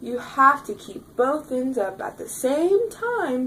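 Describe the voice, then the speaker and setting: A fairly slow, high-pitched put-on character voice from a woman. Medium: read story. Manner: lively, chatty.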